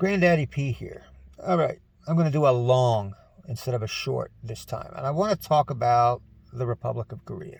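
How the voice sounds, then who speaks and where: A somewhat breathy man with an American accent, lively intonation and a moderate pace. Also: medium pitch for a man. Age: 60s. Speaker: retired military veteran and vlogger. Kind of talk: casual monologue vlog. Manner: conversational, folksy.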